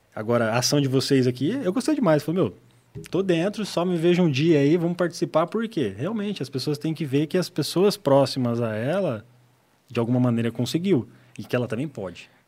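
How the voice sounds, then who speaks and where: This man has a normal speaking voice with a fairly high pitch. He talks at a fairly quick pace with lively intonation. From Paraná, Brazil (Apucarana). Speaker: solar energy entrepreneur. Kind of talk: podcast interview.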